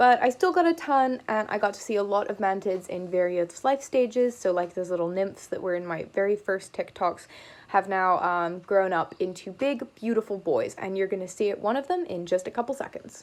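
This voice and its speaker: Talking at a fairly quick pace with hardly any pauses, a woman speaks with an American accent at medium pitch and ordinary pitch variation. The recording is very clean, the background silent. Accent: switches between British and American. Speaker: entomology video host. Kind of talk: educational vlog narration. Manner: casual.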